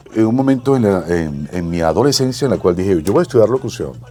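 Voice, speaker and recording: With music playing in the background, a man speaks with very wide pitch swings. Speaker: veteran radio and television broadcaster. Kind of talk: interview answer.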